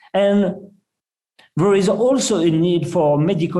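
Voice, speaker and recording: A man speaks with ordinary pitch variation. Audible room echo surrounds the voice. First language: not English. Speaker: surgeon, presenter. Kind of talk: conference lecture. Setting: web symposium.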